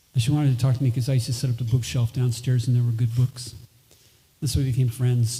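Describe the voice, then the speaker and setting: Somewhat breathy and dark, mellow in tone, a man's voice rests at a medium pitch. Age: 60s. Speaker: musician. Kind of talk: stage talk between songs. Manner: halting.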